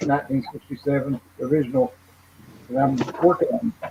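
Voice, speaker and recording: A fairly high-pitched man with ordinary pitch variation, against noticeable background noise. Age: 60s. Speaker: model car hobbyist. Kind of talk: casual chat.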